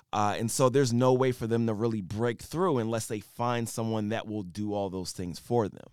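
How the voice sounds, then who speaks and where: An unremarkable speaking voice with an American accent moves at a moderate pace, with hardly any pauses. Pitch varies in an ordinary way while loudness swings widely. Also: man, medium pitch for a man. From Philadelphia, US. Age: 40s. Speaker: rapper and tech entrepreneur. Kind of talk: casual interview chat.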